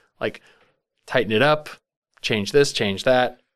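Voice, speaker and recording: This man's voice sits at a medium pitch. The recording is very clean and the background silent. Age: 40s. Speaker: podcast host. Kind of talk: casual chat.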